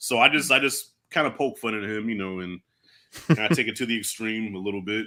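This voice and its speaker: A man with an American accent speaks at a fairly quick pace in a bright, sharp tone, captured in a very clean recording with a silent background. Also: medium pitch for a man, ordinary pitch variation. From Long Island, New York. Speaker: movie YouTuber. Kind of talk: casual livestream chat.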